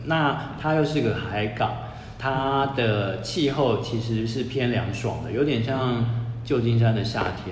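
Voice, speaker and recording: At a very slow pace, a man at medium pitch speaks with fairly even intonation, amid noticeable background noise and audible room echo. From Taiwan, Taipei. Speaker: author and former worker in Russia. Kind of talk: casual chat.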